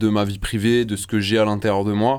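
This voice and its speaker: A man speaks in a fairly low pitch with fairly even intonation. The recording is very clean, the background silent. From southern France, Marseille. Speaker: rapper. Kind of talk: interview. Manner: halting.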